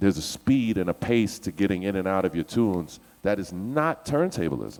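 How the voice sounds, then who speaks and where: On a very clean recording with a silent background, a man with an American accent talks at a moderate pace in an animated tone, his fairly low voice moving with lively intonation. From US East Coast. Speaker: DJ. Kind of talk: panel discussion.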